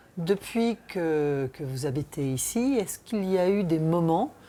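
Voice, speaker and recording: A woman's fairly low, dark and mellow voice with lively intonation at a very slow pace. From Brittany, France. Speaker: documentary presenter and sea adventurer. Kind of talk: documentary interview.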